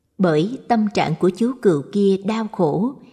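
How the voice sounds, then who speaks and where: A woman with a dark, mellow tone and a somewhat breathy voice speaks at a very slow pace, her intonation lively. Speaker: audiobook narrator. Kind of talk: scripted narration of Buddhist short stories.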